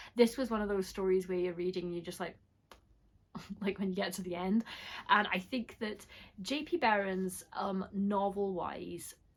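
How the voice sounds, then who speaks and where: Speaking at a moderate pace and medium pitch, a woman keeps her intonation fairly even and leaves long, frequent pauses. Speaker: horror book reviewer. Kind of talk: casual talk to camera. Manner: casual, frequent filler words.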